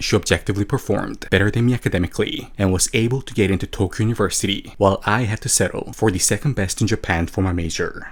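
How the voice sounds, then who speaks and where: A man speaks at a very fast pace with hardly any pauses, his fairly low voice somewhat breathy with ordinary pitch variation. The recording is very clean, with a silent background. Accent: Korean. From South Korea. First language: Korean. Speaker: YouTuber. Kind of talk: scripted narration.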